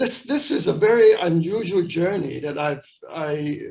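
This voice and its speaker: Music playing behind a male speaker whose pitch varies in an ordinary way. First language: not English. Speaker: missionary. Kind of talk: interview. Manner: halting.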